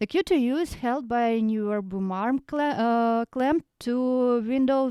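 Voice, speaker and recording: On a very clean recording with a silent background and a dry, close sound with no echo, a soft-spoken woman with a high pitch and a dark, mellow tone talks at a fairly slow pace. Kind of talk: microphone test sample, casual talk to camera. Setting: home room recorded close to microphone, no post processing.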